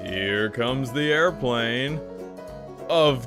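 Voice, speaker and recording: Over music in the background, a man speaks at medium pitch in an upbeat, enthusiastic tone with ordinary pitch variation. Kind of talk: parody TV commercial read.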